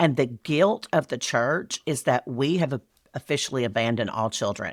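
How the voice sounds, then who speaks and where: A woman's very deep, low voice with a Southern US accent, at a moderate pace, in a dry, close sound with no echo. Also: lively intonation. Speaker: speaker and event business expert. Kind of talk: podcast guest interview. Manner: witty, sarcastic.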